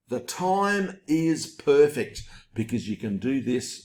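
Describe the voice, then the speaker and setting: Using an animated tone, a man with an Australian accent makes very wide pitch swings. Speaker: online marketer. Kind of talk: webinar sales pitch. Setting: home recording.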